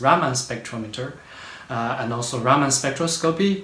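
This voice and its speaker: Noticeable background noise and audible room echo surround a man with a Chinese accent who speaks at a moderate pace with a medium pitch. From China. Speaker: postdoctoral researcher. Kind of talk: interview. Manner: halting, many fillers.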